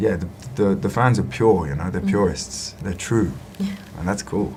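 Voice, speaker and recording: Amid noticeable background noise, a man with a very deep, low pitch speaks at a moderate pace with lively intonation. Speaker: actor. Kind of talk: interview answer. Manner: mumbling.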